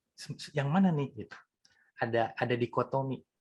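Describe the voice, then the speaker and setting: Somewhat breathy, the man's voice moves at a moderate pace. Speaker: mindfulness teacher. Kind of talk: talk on mindfulness. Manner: conversational.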